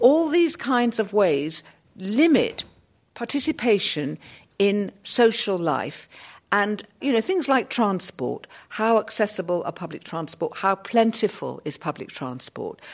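This woman talks at a fairly slow pace in a fairly high voice that swings very widely in pitch. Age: 60s. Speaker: sociologist. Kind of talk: panel discussion. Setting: stage with audience.

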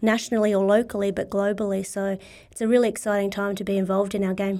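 Fairly quick speech from a woman with an Australian accent, fairly high pitch and fairly even intonation. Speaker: sports body CEO. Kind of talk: casual interview.

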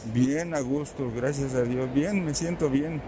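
There is noticeable background noise and audible room echo. Through it, a man speaks at a fairly high pitch. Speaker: elderly vaccine recipient. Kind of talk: street interview.

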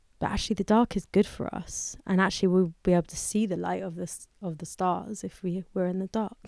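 A woman with a London accent and a fairly low pitch speaks at a fairly quick pace in a monotone, flat intonation, recorded dry and close with no echo, very clean, and with a silent background. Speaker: musician. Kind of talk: interview conversation. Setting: studio.

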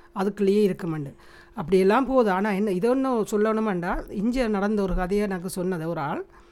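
With an unremarkable speaking voice, a woman speaks at medium pitch with ordinary pitch variation. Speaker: podcast co-host, mother. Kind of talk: casual chat.

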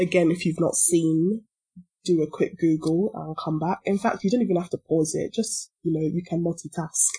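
A woman with a London accent speaks in a fairly low, dark and mellow voice. Her delivery is somewhat breathy, with fairly even intonation. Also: moderate pace. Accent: British, London. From London, England. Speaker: podcast co-host. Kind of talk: casual chat.

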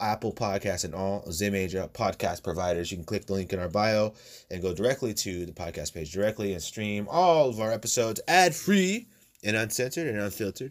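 A man with a plain, everyday voice talks fairly quickly at a fairly low pitch with ordinary variation, on a very clean recording with a silent background. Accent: American. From United States. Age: 20s. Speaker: podcast host. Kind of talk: casual monologue.

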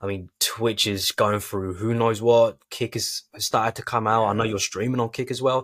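A man with a British accent speaks at a medium pitch and moderate pace, with hardly any pauses and monotone, flat intonation. The sound is dry and close with no echo, on a very clean recording with a silent background. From United Kingdom. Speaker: podcast host and business founder. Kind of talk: interview.

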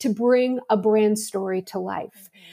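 An ordinary speaking voice from a woman with an American accent, fairly high in pitch with ordinary pitch variation, at a moderate pace. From Pittsburgh, Pennsylvania, US. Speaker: marketing executive. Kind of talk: interview.

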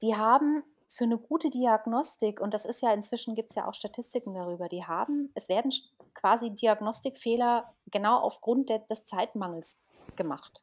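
Her voice is an unremarkable speaking voice, a woman's, fairly high in pitch with ordinary pitch variation at a moderate pace. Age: 40s. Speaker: naturopath. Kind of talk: casual interview.

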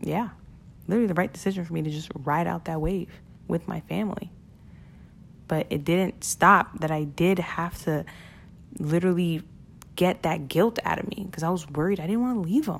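A woman's fairly low voice in a Brooklyn accent, animated in tone, with ordinary pitch variation, a moderate pace and long, frequent pauses. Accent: New York (Brooklyn). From Brooklyn, New York (Flatbush). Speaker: podcast host, e-commerce entrepreneur. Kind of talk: solo podcast monologue.

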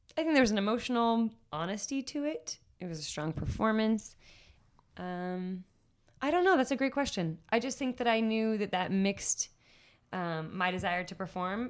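A woman has a normal speaking voice with an American accent, a medium pitch and lively intonation. She speaks at a moderate pace on a very clean recording with a silent background. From Washington DC area. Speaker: spoken word poet. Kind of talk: interview conversation.

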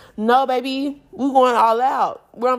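On a very clean recording with a silent background, a woman speaks in an animated tone. Her pitch is high and her pace fairly slow. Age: 20s. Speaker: podcast host. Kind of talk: casual solo podcast monologue.

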